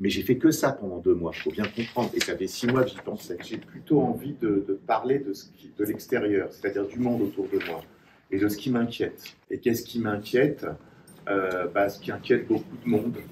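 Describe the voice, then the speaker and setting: A man's medium-pitched voice at a moderate pace, with ordinary pitch variation and big swings in loudness. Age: 60s. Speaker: writer. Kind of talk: author talk with students. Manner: hesitant, many fillers.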